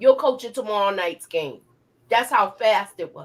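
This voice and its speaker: A woman with a New York accent speaks at a fairly slow pace in a medium pitch, her tone animated and her intonation lively. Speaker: YouTube TV show reviewer. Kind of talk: live discussion.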